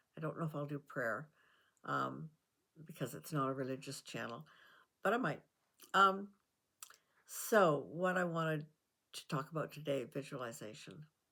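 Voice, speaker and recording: Her very deep, low pitch shows vocal fry as this woman speaks at a moderate pace with lively intonation and long, frequent pauses. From Canada. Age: 80s+. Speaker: self-help vlogger. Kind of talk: casual talk to camera. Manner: hesitant, conversational.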